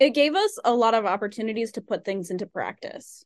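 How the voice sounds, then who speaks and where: An unremarkable speaking voice from a woman, fairly high in pitch with ordinary pitch variation, over a quiet background. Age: 20s. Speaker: podcast co-host. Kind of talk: casual interview chat.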